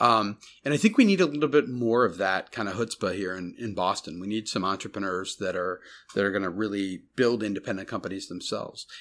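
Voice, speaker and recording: A man with an American accent speaks at a fairly quick pace in a fairly low voice with ordinary pitch variation, recorded very cleanly against a silent background. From US Midwest, Chicago suburbs. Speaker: tech startup CEO and angel investor. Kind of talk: interview. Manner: halting, many fillers.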